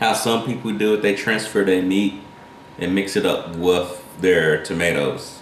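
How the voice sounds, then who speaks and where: In a strong Carolina accent, a man with a fairly low pitch speaks at a fairly slow pace, with audible room echo and noticeable background noise. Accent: thick Carolina. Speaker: cooking channel host. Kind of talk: cooking tutorial. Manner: casual, rambling with self-corrections.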